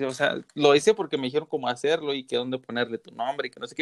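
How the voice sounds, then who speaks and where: A man with ordinary pitch variation in a dry, close sound with no echo. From southern Zacatecas, Mexico. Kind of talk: casual chat. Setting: remote call.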